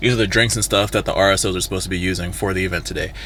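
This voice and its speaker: A man's voice over noticeable background noise. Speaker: vlogger and campus event planner. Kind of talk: casual vlog. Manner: fast; animated.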